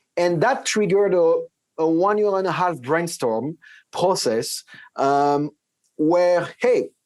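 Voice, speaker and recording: A man speaks at a high pitch with a French accent and ordinary pitch variation. The recording is very clean, with a silent background. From France. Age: 40s. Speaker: tech company CEO. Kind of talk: interview. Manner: hesitant, many fillers and restarts.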